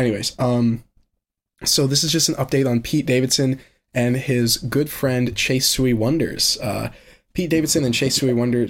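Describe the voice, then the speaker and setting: An ordinary speaking voice from a man at a moderate pace, with very even loudness and fairly even intonation. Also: medium pitch for a man. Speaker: podcast host. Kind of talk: casual chat.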